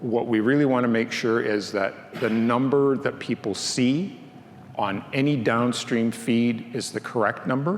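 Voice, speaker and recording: With audible room echo and noticeable background noise, a man talks at a medium pitch and a fairly slow pace. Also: ordinary pitch variation. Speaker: workgroup chair presenting at a conference. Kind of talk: conference presentation.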